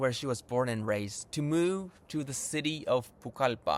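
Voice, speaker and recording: The recording is very clean, and the background is silent. A man does the talking. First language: Japanese. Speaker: YouTuber and language teacher. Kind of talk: tutorial.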